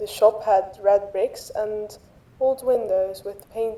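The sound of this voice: Lively intonation carries the speech. It is an unforced reading voice.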